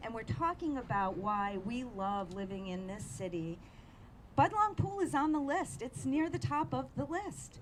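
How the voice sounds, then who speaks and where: A woman's voice moves through very wide pitch swings at a fairly slow pace. Audible room echo sits on the recording. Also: medium pitch for a woman. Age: 60s. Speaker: community activist. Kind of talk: public speech at news conference.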